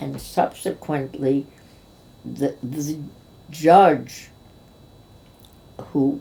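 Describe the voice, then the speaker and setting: A woman speaks with vocal fry. Her tone is dark and mellow. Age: 80s+. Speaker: cabaret and Broadway actress. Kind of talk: interview answer.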